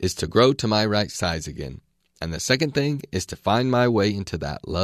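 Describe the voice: Against a quiet background, the plain reading aloud has lively intonation.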